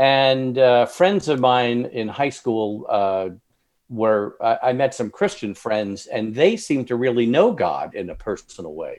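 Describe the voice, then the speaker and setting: Using an ordinary speaking voice, a man with an American accent and medium pitch talks at a moderate pace with lively intonation. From Long Island, New York. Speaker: author. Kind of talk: casual interview. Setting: video call.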